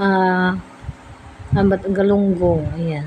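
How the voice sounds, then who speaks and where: A woman speaks with monotone, flat intonation over light background noise. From Philippines. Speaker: food vlogger. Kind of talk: casual vlog talk. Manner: halting. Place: home room. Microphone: phone near.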